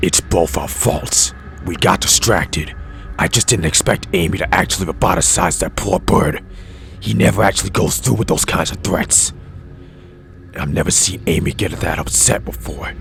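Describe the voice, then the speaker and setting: Using a cartoonish character voice with a very deep, low pitch, a man speaks at a moderate pace over clear background noise. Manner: cool, sardonic.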